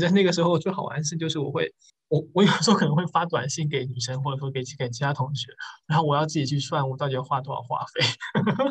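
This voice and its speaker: A man has an unremarkable speaking voice at fairly high pitch. He talks at a fairly quick pace with ordinary pitch variation. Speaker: podcast host. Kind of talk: casual chat.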